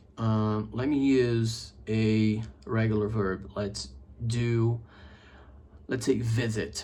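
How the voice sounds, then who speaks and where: A man's medium-pitched, somewhat breathy voice with a dark, mellow tone and a Brazilian accent. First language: Portuguese. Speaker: English teacher. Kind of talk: casual chat. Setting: home office video setup.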